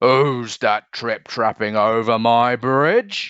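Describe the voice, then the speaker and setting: Bellowing in a put-on character voice, a man delivers his lines at a medium pitch and a very slow pace. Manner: roaring.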